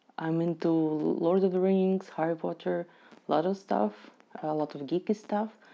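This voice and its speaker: A woman with a non-native accent talks at a moderate pace in a fairly low voice. Her tone is dark and mellow, with ordinary pitch variation. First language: not English. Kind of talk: casual movie reaction to camera.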